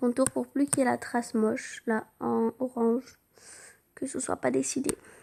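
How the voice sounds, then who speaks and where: The recording is very clean and the background silent. A woman speaks fairly slowly. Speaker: drawing tutorial youtuber. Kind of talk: tutorial.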